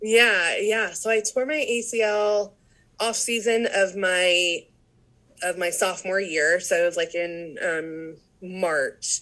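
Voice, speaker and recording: Against a quiet background, a woman talks at a very slow pace in a bright, sharp tone. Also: medium pitch for a woman, ordinary pitch variation. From South Louisiana, Cajun area (St. Martinville). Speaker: recruitment specialist, former university supervisor. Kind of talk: casual interview chat.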